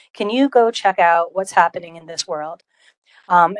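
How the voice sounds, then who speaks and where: In a Rhode Island accent, a woman speaks at a medium pitch. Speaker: college open education program leader. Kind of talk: conference presentation. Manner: frequent filler ums.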